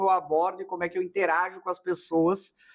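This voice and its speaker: This man has a southern Brazilian accent. His pitch is high. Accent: gaúcho. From southern Brazil (Rio Grande do Sul). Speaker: marketing consultant. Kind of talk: casual interview.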